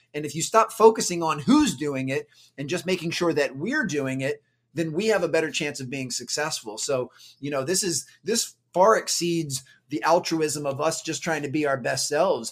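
A man speaks at a moderate pace in a plain, everyday voice, fairly high-pitched for a man with ordinary pitch variation, on a very clean recording with a silent background. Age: 40s. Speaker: performance coach and motivational speaker. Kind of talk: interview conversation. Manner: filler-heavy with frequent repetitions.

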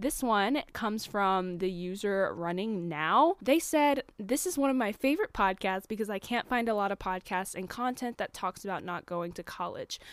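A woman with an unremarkable speaking voice at medium pitch, moderate pace and lively intonation, hardly any pauses, on a very clean recording with a silent background. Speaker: podcast host. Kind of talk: casual chat. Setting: home recording, window open. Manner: chatty, upbeat.

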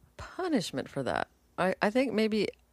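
A woman with an ordinary speaking voice, lively intonation and a moderate pace, in a very clean recording with a silent background and a dry, close sound with no echo. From US, moved often (Georgia, Texas, Pennsylvania, Buffalo). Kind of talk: casual chat.

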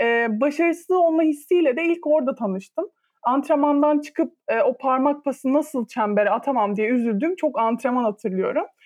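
With hardly any pauses, a woman speaks at a moderate pace, her high pitch and lively intonation held at very even loudness. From Turkey, İzmir. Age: 20s. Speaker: podcast co-host, volleyball player. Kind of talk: casual chat.

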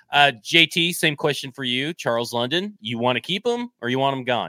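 A man's bright, sharp, animated tone at medium pitch, in a dry, close sound with no echo. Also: very clean recording, silent background. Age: 30s. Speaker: sports podcast host. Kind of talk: casual live sports talk.

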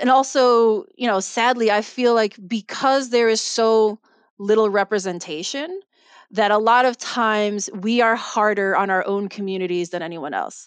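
A woman with a Chicago accent, fairly high pitch, ordinary pitch variation and a moderate pace, against a quiet background. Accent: Chicago American English. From Chicago, US Midwest. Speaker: mystery author. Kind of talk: casual interview chat.

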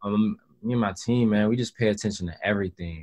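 Over a quiet background, this is a plain, everyday voice at a moderate pace. The intonation stays fairly even. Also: man. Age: 20s. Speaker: rapper. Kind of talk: casual interview.

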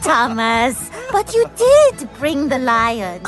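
A cartoonish character voice, female-sounding and high-pitched, at a very slow pace over clear background music. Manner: bright, enthusiastic.

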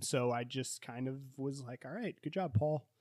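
An unremarkable speaking voice from a man, medium pitch, ordinary pitch variation, moderate pace, dry close sound with no echo, very clean recording and silent background. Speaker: podcast host. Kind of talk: casual book discussion.

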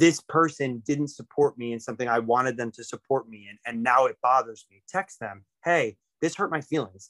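Using an ordinary speaking voice, a man of medium pitch speaks at a moderate pace with ordinary pitch variation and big swings in loudness. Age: 30s. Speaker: musician. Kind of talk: casual chat.

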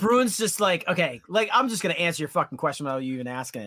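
With an American accent, a man raises and projects his voice. His tone is bright and sharp, and his pitch swings very widely. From Massachusetts North Shore (Danvers). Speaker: metal guitarist. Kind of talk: casual chat.

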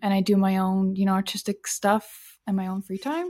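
A woman's medium-pitched, fairly evenly intoned voice, an unremarkable speaking voice, on a very clean recording with a silent background. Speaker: social media manager. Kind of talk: casual interview chat.

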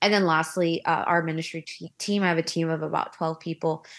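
A woman speaks at a fairly quick pace in a fairly low pitch, with an American accent and ordinary pitch variation. It is a plain, everyday voice on a very clean recording with a silent background. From US, Korean American. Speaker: influencer and stay-at-home mom. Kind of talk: casual interview.

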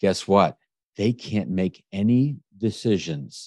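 A man's medium-pitched voice at a very slow pace. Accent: American. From US, Washington DC area. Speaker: author and business speaker. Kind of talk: interview.

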